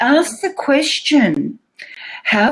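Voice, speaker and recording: Speaking very slowly with an Australian accent, a woman's pitch swings very widely. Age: 60s. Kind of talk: interview answer. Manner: lively, casual.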